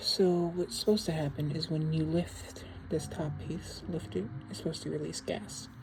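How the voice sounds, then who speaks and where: A woman whispering, soft-spoken and relaxed in tone. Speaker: lighter collector. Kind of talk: casual tutorial. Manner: rambling, relaxed; soft-spoken, near whisper.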